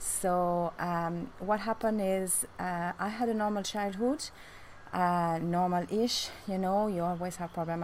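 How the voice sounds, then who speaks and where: The speaker is a woman with a French accent. Her pitch is fairly low. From France. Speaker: beautician and vlogger. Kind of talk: personal life story vlog. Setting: outdoors on a rooftop. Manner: halting with many fillers.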